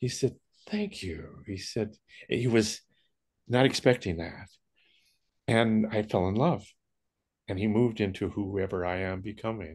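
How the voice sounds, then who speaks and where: A man with a western US accent speaks at a fairly low pitch and a fairly slow pace. His pitch variation is ordinary, and the background is quiet. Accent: western American. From US West, Jackson Hole, Wyoming. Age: 80s+. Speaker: spiritual speaker. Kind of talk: casual chat.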